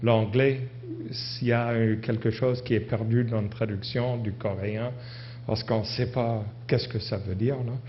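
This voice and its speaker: Through audible room echo, a man talks very slowly at a medium pitch with monotone, flat intonation. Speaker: university professor giving a conference talk. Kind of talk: conference presentation. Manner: halting, many hesitations and restarts.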